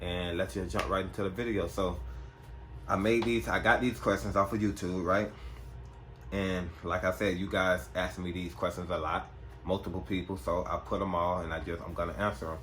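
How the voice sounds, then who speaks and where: There is vocal fry in this man's very deep, low voice, heard with audible room echo. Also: ordinary pitch variation, moderate pace. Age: 20s. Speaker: gun vlogger. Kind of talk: casual Q&A vlog. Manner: soft-spoken, sometimes talks low.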